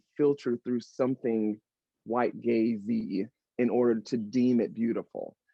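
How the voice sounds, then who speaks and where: With an American accent, this speaker keeps to a moderate pace. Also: man. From North Carolina, US South. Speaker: fashion industry professional. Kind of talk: panel discussion. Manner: halting, many fillers.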